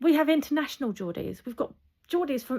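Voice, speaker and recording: An animated woman with lively intonation. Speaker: football fan vlogger. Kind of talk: rant. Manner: halting, many repetitions.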